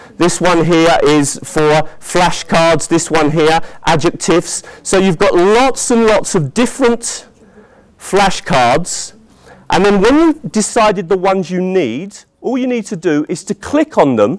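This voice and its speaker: Speaking fairly slowly with a British accent, a man uses a high pitch and lively intonation. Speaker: teacher trainer. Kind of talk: conference presentation. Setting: conference hall with audience. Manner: animated.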